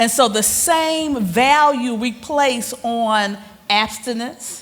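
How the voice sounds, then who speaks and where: With audible room echo and noticeable background noise, a woman speaks at a high pitch and a very slow pace, her intonation lively. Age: 60s. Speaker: panel moderator. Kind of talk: panel discussion.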